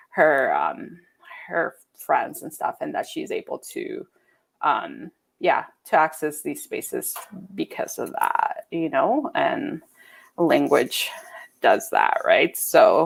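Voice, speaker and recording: A woman with a Spanish accent speaks at a very slow pace, leaving long, frequent pauses. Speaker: visual artist. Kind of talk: panel conversation. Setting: live-streamed video call.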